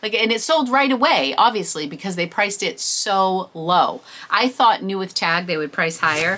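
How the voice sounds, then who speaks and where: Noticeable background noise sits behind a woman of medium pitch who talks at a moderate pace with very wide pitch swings. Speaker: reseller and thrift vlogger. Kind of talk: haul video monologue.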